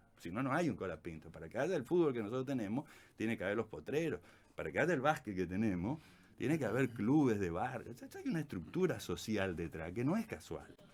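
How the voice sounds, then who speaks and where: Very wide pitch swings mark a man's medium-pitched voice. He talks at a very fast pace. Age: 60s. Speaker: university professor and former education minister. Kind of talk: radio interview. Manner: animated, colloquial with many fillers.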